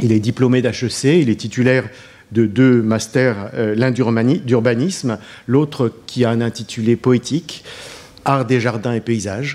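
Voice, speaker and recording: The pace is very slow as a man speaks. His intonation stays fairly even. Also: medium pitch for a man, very even loudness. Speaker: professor and session moderator. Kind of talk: formal moderating. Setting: conference hall with audience. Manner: hesitant, formal.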